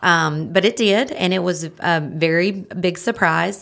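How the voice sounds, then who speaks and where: The speaker has a North Carolina accent, heard in a very clean recording with a silent background. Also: woman. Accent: Southern American (North Carolina). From Marion, North Carolina. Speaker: home health sales director, breast cancer survivor. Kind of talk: interview testimony.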